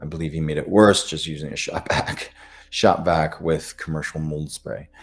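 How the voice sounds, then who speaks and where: A man speaks with a very deep, low pitch. He has an American accent and keeps a moderate pace. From US Midwest. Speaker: functional medicine doctor. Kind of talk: live Q&A webinar. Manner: hesitant, many fillers.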